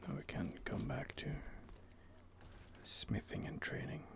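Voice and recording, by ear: Someone whispers fairly slowly, with vocal fry. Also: man.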